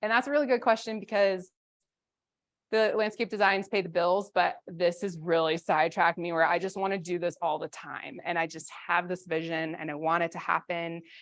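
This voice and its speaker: A woman speaks at a medium pitch with ordinary pitch variation. The recording is very clean, with a silent background. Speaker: conference presenter, landscape designer. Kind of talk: conference presentation with Q&A.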